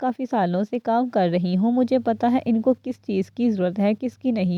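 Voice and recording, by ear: It is reading aloud in a natural voice with ordinary pitch variation.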